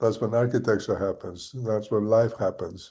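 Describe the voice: A man's voice has a dark, mellow tone. He speaks at a fairly slow pace.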